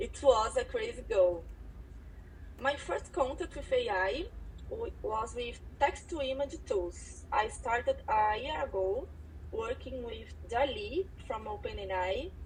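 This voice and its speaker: A woman speaks in a Portuguese accent. Her pace is very slow. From Brazil. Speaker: designer. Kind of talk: self-introduction on live audio event. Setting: online audio event.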